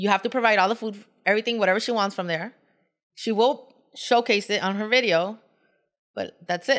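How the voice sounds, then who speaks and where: A woman speaks at a fairly quick pace in a fairly high voice, her intonation fairly even, with long pauses coming often. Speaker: food blogger.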